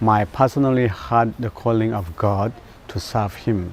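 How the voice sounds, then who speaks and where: Very slowly, a man with a Burmese accent talks at a medium pitch with ordinary pitch variation. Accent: Burmese (Zo) accent in English. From Myanmar. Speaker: pastor. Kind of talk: personal testimony. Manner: halting.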